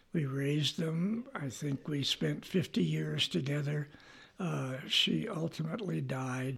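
At a fairly slow pace, a man speaks in a somewhat breathy, fairly high-pitched voice with very wide pitch swings. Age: 80s+. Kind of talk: personal testimony.

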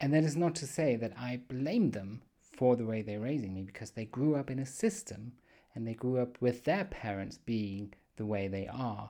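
Speaking with a German accent, a man has a dark, mellow tone at medium pitch. His intonation is lively and his pace moderate. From Germany. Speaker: podcast host. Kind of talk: solo monologue podcast. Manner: casual, with frequent fillers.

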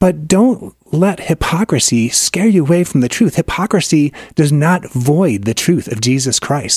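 Here is a man in a normal speaking voice, fairly high-pitched, with lively intonation. He goes at a fairly slow pace with hardly any pauses, and the sound is dry and close with no echo. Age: 60s. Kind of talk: religious radio discussion. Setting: studio.

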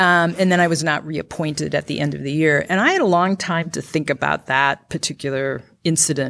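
With an Upper Midwest accent, a woman speaks very deep and low at a fairly quick pace, her intonation fairly even and hardly any pauses between words. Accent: Upper Midwest (Minnesota). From rural Minnesota. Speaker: county attorney, former public defender. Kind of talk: interview before live audience. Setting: stage with live audience.

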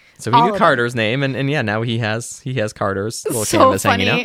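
Fairly quick speech from a man with an American accent, medium pitch and ordinary pitch variation, over noticeable background noise. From Boston. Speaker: podcast co-host. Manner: casual, conversational.

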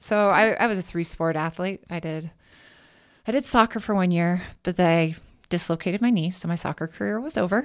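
A normal speaking voice with an American accent, fairly quick in pace, with ordinary pitch variation, on a very clean recording with a silent background. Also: woman, fairly low pitch for a woman. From Washington state (Kennewick). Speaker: teacher. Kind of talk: casual chat.

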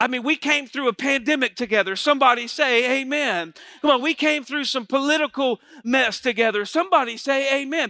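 A man's extremely high, raised and projected voice, bright and sharp in tone, fairly quick, with ordinary pitch variation and a dry, close sound without echo. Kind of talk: sermon to a live congregation. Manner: animated call-and-response preacher, urging the crowd to say amen; warm, conversational, stops and restarts mid-sentence.

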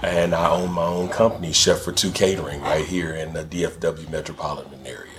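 A somewhat breathy man's voice with an American accent, very deep and low in pitch, fairly even in intonation, at a fairly quick pace with hardly any pauses. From Texas, Dallas. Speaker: chef and caterer. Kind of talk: casual chat.

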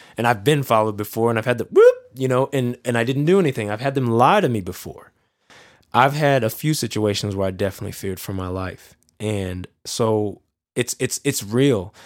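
A man with a plain, everyday voice talks at a fairly quick pace, his medium pitch showing ordinary variation. The recording is very clean, with a silent background. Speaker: podcast guest. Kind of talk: casual conversation.

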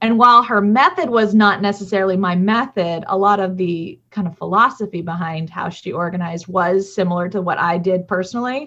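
The tone is bright and sharp, with ordinary pitch variation. It moves at a fairly quick pace with hardly any pauses. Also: woman, medium pitch for a woman. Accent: American. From US South, Georgia. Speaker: nonprofit director and professional organizer. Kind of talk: interview.

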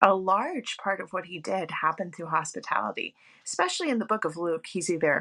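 A woman's fairly quick speech comes through with noticeable noise behind it.

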